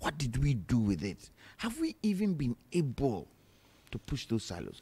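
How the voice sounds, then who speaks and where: A man's dark, mellow, somewhat breathy voice at a fairly slow pace. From Ghana. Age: 60s. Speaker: political panelist. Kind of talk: heated debate. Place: studio. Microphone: studio mic.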